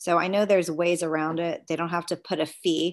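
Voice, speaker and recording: At a moderate pace, a woman with a normal speaking voice, fairly low in pitch, talks with fairly even intonation against a quiet background. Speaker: city councilmember. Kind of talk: meeting discussion. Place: home room. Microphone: webcam.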